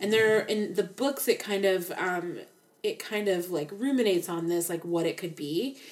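A woman talks at a moderate pace, her pitch medium with ordinary variation. She has an ordinary speaking voice. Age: 30s. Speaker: true crime podcast co-host. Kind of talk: casual chat.

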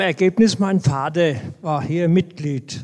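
The man's voice is high in pitch, with fairly even intonation. He speaks at a very slow pace. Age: 80s+. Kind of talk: group discussion. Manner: halting, many fillers.

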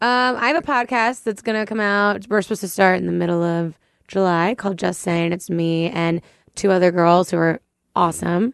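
Against a quiet background, a woman talks at a fairly quick pace in a plain, everyday voice. Her medium pitch shows ordinary variation. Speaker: co-host. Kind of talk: casual banter.

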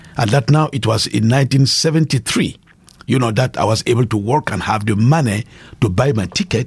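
A man with a West African French accent speaks at a moderate pace. His medium pitch carries lively intonation. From Burkina Faso. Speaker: pastor and evangelist. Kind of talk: interview testimony.

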